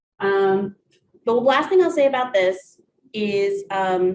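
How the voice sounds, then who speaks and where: Her intonation lively, a woman is talking. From US Midwest, Columbus, Ohio. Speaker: college staff presenter. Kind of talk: workshop presentation. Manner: animated.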